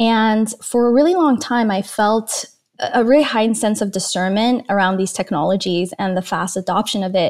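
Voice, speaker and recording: A woman's ordinary speaking voice, fairly high in pitch, with ordinary pitch variation and a fairly quick pace, on a very clean recording with a silent background. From Iran, then Canada as a teen. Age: 30s. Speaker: digital wellness advocate and documentary producer. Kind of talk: interview conversation.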